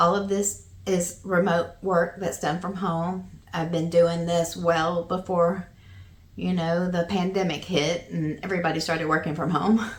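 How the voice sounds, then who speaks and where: A woman speaks in a Southern US accent at a fairly slow pace. Her intonation is monotone and flat, and her voice is somewhat breathy. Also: fairly low pitch for a woman. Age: 50s. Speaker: vlogger. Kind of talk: casual chat.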